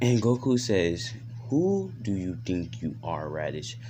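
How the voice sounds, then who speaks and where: A man speaks at a fairly low pitch, his pitch swinging very widely. Room echo is audible. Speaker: YouTuber telling fan-fiction stories. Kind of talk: casual storytelling. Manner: stuttering at times.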